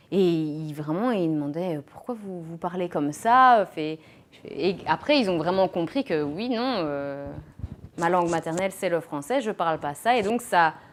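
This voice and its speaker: Lively in intonation, a woman speaks at a fairly slow pace with a fairly low pitch. Her volume rises and falls sharply. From Belgium, Mons. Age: 20s. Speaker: teacher. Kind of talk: interview. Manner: halting.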